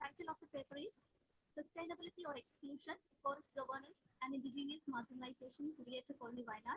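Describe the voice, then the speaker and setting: Quiet and very fast, a woman talks in a high voice with ordinary pitch variation and a dry, close sound with no echo. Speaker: paper presenter at academic conference. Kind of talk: conference paper presentation. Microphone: laptop mic, too quiet.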